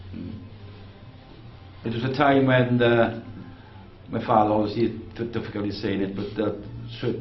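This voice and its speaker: Music plays in the background as a man talks at a moderate pace in a fairly low pitch. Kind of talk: interviewer talk.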